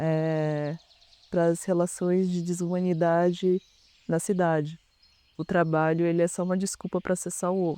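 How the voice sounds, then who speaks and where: A man with a high pitch and a dark, mellow tone speaks at a fairly slow pace in a monotone, flat intonation, leaving long, frequent pauses. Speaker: artist in residence. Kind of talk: reflective interview testimony. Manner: halting, with false starts.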